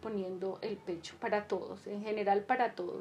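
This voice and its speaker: A woman talks at a moderate pace and medium pitch. Her intonation stays monotone and flat. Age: 50s. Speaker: podcast host, psychology educator. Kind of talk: casual monologue to listeners; solo podcast lecture on psychology. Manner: hesitant, many fillers.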